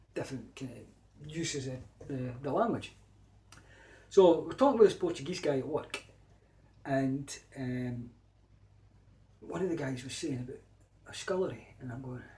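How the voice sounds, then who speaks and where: With a Scottish accent, a man talks at a moderate pace and a fairly high pitch, with ordinary pitch variation and long, frequent pauses. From Scotland. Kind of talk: casual talk to camera.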